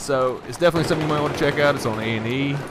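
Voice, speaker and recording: A man with a Southern accent over noticeable background noise. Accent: southern accent, somewhat of a drawl. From US South. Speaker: gaming commentator. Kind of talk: gameplay commentary, casual chat. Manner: casual, hesitant with many fillers.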